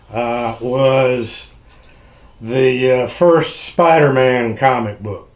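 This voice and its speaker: A man is talking. The room's echo can be heard clearly. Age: 60s. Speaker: YouTuber, radio repair hobbyist. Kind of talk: casual tag video monologue. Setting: home hobby room.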